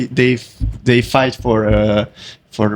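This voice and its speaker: With a Hungarian accent, a man speaks at a medium pitch and a fairly slow pace in a monotone, flat way. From Hungary. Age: 20s. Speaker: karate fighter. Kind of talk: interview. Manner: halting.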